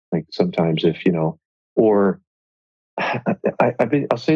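A man's fairly low pitch with very wide pitch swings. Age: 50s. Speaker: entrepreneur. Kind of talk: casual chat.

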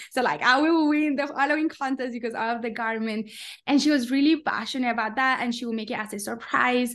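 Speaking in a Spanish accent, a woman talks at a fairly quick pace. Her pitch is high, with ordinary variation. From Colombia. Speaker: coffee company founder. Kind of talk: interview.

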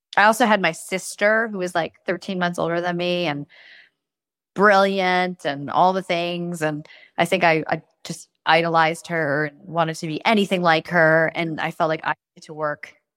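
A woman's fairly low-pitched, ordinary speaking voice at a moderate pace, with fairly even intonation and big swings in loudness, in a very clean recording with a silent background and a dry, close sound with no echo. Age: 40s. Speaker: investor and startup founder. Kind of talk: casual chat.

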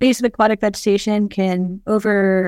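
This woman has a medium pitch and a monotone, flat intonation. The sound is dry and close, with no echo. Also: very clean recording, silent background. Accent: American. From US South, Georgia. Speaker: geneticist and researcher. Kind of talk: casual interview.

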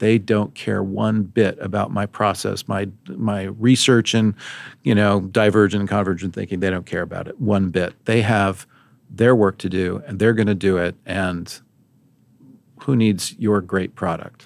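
A normal speaking voice, fairly even in intonation and fairly slow, in a very clean recording with a silent background. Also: man, fairly low pitch for a man. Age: 50s. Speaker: guest sharing career story. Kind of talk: interview conversation.

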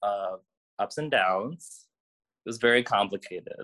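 A man with an American accent speaks in a bright, sharp tone, with a dry, close sound and no echo. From US Midwest, Cleveland, Ohio. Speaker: nurse. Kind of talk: interview.

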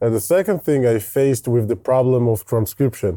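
A dark, mellow tone at a moderate pace with ordinary pitch variation, on a very clean recording with a silent background. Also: man. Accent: Israeli. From Israel. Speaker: startup founder and CEO. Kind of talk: casual interview.

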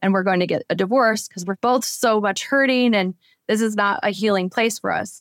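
On a very clean recording with a silent background and a dry, close sound with no echo, a woman with an unremarkable speaking voice talks at a fairly high pitch and fairly quick pace with ordinary pitch variation. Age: 40s. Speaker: author. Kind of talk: interview.

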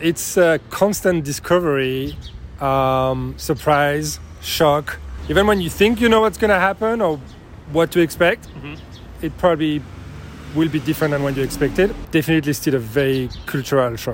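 Lively intonation and a fairly high pitch mark this man's speech in a French accent. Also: moderate pace. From France. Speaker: interviewee. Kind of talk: casual interview. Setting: coffee shop.

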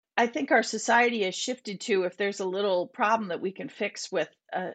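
With an American accent and a normal speaking voice, a woman of medium pitch talks at a moderate pace with lively intonation in a dry, close sound with no echo. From Minnesota. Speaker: bereaved parent and prevention advocate. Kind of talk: podcast interview.

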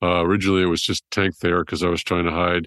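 A man speaks with an American accent at a very deep, low pitch. The sound is dry and close with no echo. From California. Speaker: trauma surgeon. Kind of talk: interview storytelling.

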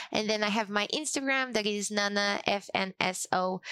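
On a very clean recording with a silent background and a dry, close sound with no echo, a woman speaks fairly slowly in a normal speaking voice at a medium pitch with fairly even intonation. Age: 20s. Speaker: community officer at a software company. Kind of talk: interview.

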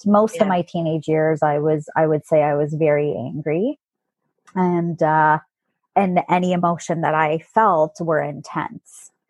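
With a Canadian accent, a woman speaks at a very deep, low pitch and a fairly slow pace. Her intonation is fairly even, and the sound is dry and close with no echo. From southwestern Ontario, Canada. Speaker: life coach. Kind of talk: interview testimony.

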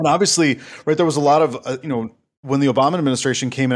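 In a Minnesota accent, a man speaks with fairly even intonation. The recording is very clean, with a silent background. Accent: Upper Midwest (Minnesota) American. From Minnesota, Saint Paul. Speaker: government relations consultant, former Marine. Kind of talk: casual interview.

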